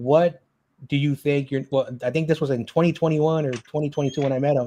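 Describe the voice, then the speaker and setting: This man has a plain, everyday voice, fairly high in pitch. He talks at a fairly quick pace. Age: 30s. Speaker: live stream hangout host. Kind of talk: casual chat.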